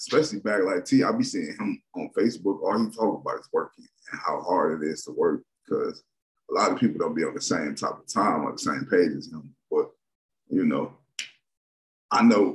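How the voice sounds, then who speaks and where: Against a quiet background, a man talks at a fairly quick pace. His loudness swings widely. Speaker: music reaction creator. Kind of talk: casual commentary. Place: home room. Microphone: webcam.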